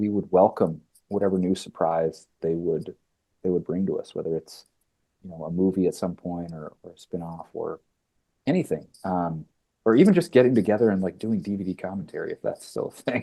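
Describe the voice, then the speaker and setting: A man with a Midwestern accent talks at a fairly quick pace, his loudness swinging widely. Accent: Midwest. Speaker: actor. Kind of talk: casual interview.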